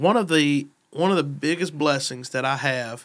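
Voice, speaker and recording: The speaker has an American accent and talks at a fairly slow pace. The recording is very clean, with a silent background. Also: man. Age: 30s. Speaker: pastor. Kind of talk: casual chat.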